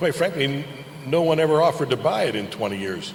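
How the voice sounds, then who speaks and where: Noticeable background noise and audible room echo around a man talking fairly fast. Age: 60s. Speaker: racing team owner. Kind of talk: press conference answers. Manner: halting, repetitive.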